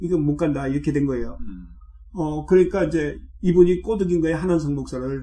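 A man's dark, mellow voice, somewhat breathy, fairly high in pitch and moving at a fairly quick pace. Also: ordinary pitch variation. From South Korea, South Jeolla (Haenam). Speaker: retired pastor and theology professor. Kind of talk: interview. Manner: halting, many fillers.

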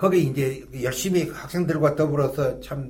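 Vocal fry comes through at a very slow pace, with audible room echo. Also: man. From Gyeongsang region, South Korea (Gyeongju, Pohang). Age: 80s+. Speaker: retired pastor. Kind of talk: interview storytelling.

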